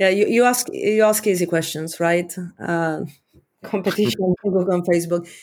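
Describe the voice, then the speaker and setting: With an Eastern European accent, a woman talks at a moderate pace, her medium pitch showing ordinary variation. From Romania. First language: Romanian. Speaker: tech executive. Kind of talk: interview.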